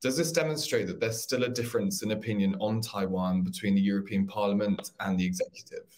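A slightly mellow tone at a fast pace, ordinary pitch variation, and audible room echo. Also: man, fairly low pitch for a man.

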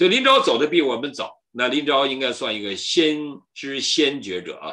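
A man's tone comes across bright and sharp, with the background staying quiet. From mainland China. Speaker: pastor and channel host; speaker. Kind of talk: solo livestream talk on history. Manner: frequent fillers and hesitations. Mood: earnest, indignant at times. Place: home room. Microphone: video call.

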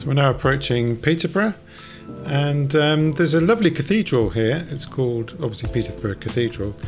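Over music in the background, a man talks at a fairly quick pace with lively intonation. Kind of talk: narrated travel commentary.

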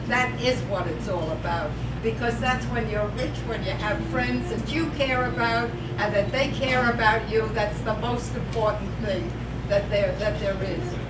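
At a moderate pace, a woman speaks while loud background noise fills the recording. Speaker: birthday honoree. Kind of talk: speech at a birthday party. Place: hall. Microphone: camera far.

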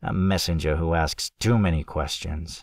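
A man speaks in a put-on character voice with very deep, low pitch at a moderate pace, on a very clean recording with a silent background. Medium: read story. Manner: sneering, curt.

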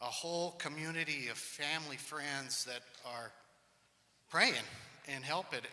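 Fairly even intonation marks the speech. The speaker is a man. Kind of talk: personal testimony to congregation. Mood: earnest, occasionally humorous. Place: church. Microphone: handheld.

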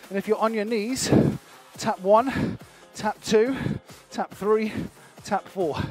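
Faint music plays behind a high-pitched man who speaks very slowly with fairly even intonation and long, frequent pauses, the sound dry with no echo. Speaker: fitness instructor. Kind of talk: workout class instruction. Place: studio.

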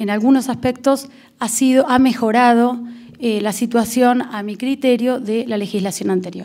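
A woman speaks at a fairly high pitch in a dark, mellow tone. The background is quiet. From Argentina. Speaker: prosecutor; panelist. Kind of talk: lecture. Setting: auditorium with audience. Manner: formal. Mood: earnest, argumentative. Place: hall. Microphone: podium.

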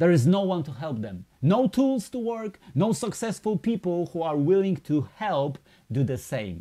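Against a quiet background, a man with a Polish accent speaks at a fairly slow pace in a high voice with a dark, mellow tone and very wide pitch swings. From Poland. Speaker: network marketing presenter; presenter. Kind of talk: sales pitch. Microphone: webcam.

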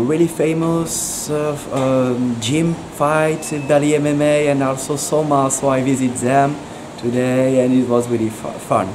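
A man speaks at a very slow pace with a medium pitch. Noticeable background noise runs behind him. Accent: French. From France. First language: French. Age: 20s. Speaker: Muay Thai fighter. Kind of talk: street interview. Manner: halting.

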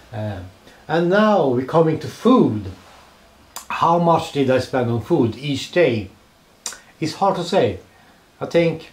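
A man with a Swedish accent and lively intonation, with audible room echo. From Sweden. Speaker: travel vlogger. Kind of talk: travel vlog narration. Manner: halting. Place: home room. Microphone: handheld.

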